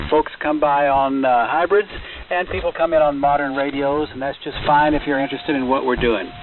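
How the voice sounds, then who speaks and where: Noticeable background noise runs under this recording. A man talks fairly fast in a fairly high voice. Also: fairly even intonation. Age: 70s. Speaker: ham radio net controller. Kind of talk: amateur radio net talk. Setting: ham radio transmission.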